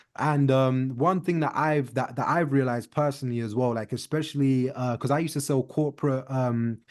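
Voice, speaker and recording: With a British accent, a man talks at a fairly quick pace and medium pitch, with fairly even intonation and hardly any pauses. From UK. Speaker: podcast host. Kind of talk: casual interview chat. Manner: many fillers, hesitant.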